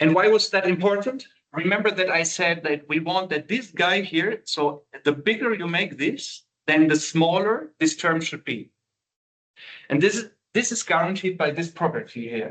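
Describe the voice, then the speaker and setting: The speaker has a non-native accent and moves at a moderate pace. Intonation is lively. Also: man, high pitch for a man. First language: not English. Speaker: university lecturer. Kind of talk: lecture. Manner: halting, many fillers.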